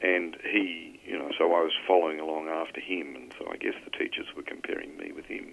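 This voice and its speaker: Speaking with an Australian accent, someone keeps up a fairly quick pace. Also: man. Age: 60s. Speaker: accounting professor. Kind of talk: podcast interview.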